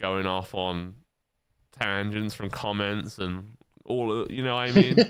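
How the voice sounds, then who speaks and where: The intonation is fairly even and the pace fairly slow. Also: man, fairly low pitch for a man. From northern England. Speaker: podcast host. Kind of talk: casual chat.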